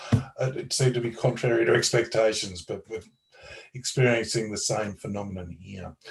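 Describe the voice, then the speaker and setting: Over music in the background, a man with an Australian accent talks at a moderate pace, with big swings in loudness. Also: medium pitch for a man, ordinary pitch variation. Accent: Australian twang. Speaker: lawyer. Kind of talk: interview explanation.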